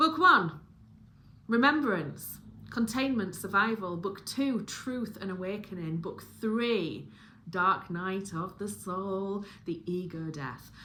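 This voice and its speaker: With a Yorkshire accent, a woman speaks very slowly at a medium pitch, her intonation lively. Her tone is bright and sharp, and room echo is audible. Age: 40s. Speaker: book reviewer and spiritual content creator. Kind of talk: casual monologue review. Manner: rambling with fillers and restarts.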